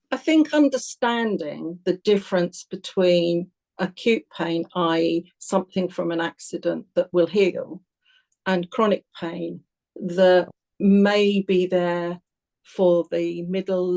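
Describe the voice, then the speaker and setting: A woman speaks very slowly at a fairly low pitch. Her tone is dark and mellow. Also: ordinary pitch variation, dry, close sound with no echo. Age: 70s. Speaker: pain advocate. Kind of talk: interview.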